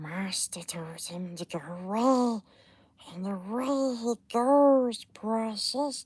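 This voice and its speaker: A put-on character voice that sounds female whispers quietly at a very slow pace. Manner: whispering, quiet.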